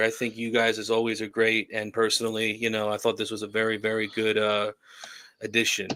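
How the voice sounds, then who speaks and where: Fairly quick speech from a man with a New Jersey accent, bright, sharp tone and medium pitch, on a very clean recording with a silent background. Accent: New Jersey accent, heard as Massachusetts. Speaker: paranormal show co-guest. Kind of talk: casual chat.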